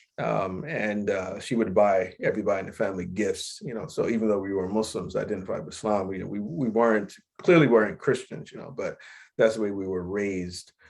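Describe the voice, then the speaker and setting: Against a quiet background, a man with an American accent speaks fairly quickly at a fairly low pitch. His loudness swings widely, and his pitch variation is ordinary. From US, Chicago South Side and Philadelphia. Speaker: Islamic scholar. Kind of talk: interview. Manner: halting, many fillers.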